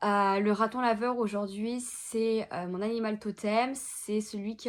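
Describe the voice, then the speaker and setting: In a very clean recording with a silent background, a woman speaks fairly slowly in a fairly high voice with monotone, flat intonation. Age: 20s. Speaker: social media consultant, entrepreneur. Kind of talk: interview monologue. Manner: hesitant, many filler words.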